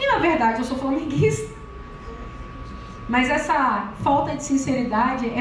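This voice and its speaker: Loud and animated, a woman with a high voice speaks at a fairly slow pace with long, frequent pauses, amid noticeable background noise and audible room echo. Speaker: preacher. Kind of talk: sermon.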